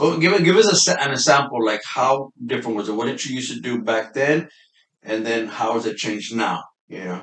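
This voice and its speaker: Lively intonation runs through a plain, everyday voice. The pace is fairly quick. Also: man, medium pitch for a man. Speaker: podcast host. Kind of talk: podcast interview host. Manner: casual, upbeat.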